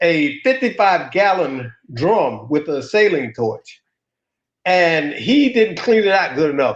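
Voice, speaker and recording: A man with a high pitch talks at a very slow pace, his voice making very wide pitch swings. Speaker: show co-host. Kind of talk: casual chat.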